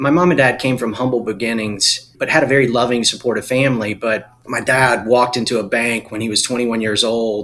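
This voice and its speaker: With a North Carolina accent, a man at medium pitch talks fairly quickly in fairly even intonation over noticeable background noise. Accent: US Southern (North Carolina). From Eastern North Carolina. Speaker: investor and former business owner. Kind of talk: interview.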